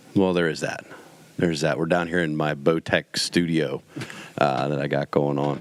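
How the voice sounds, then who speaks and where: A man's very deep, low voice at a moderate pace, with noticeable background noise. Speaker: podcast host. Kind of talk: casual chat. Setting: home studio. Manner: animated.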